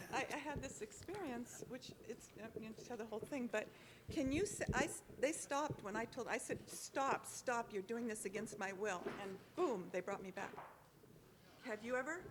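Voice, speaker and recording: Against noticeable background noise, a woman speaks with a fairly high pitch and lively intonation. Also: moderate pace. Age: 70s. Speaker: audience member. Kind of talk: audience question. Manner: halting.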